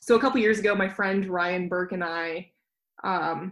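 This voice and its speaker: Fairly even in intonation, a woman with a Mountain West accent speaks at a medium pitch. Her pace is moderate. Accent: American, Mountain West. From Jackson Hole, Wyoming. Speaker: mountain runner and illustrator. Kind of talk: casual interview chat.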